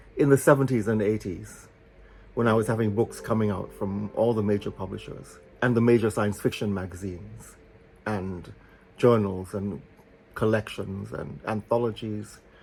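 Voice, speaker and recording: A man with a fairly low voice. It sounds somewhat breathy. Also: ordinary pitch variation, moderate pace. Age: 70s. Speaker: author. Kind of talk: casual monologue.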